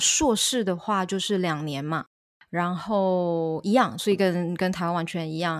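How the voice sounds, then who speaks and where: In a plain, everyday voice, a woman talks at medium pitch and a fairly slow pace on a very clean recording with a silent background. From Taiwan. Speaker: online Mandarin teacher. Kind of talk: interview.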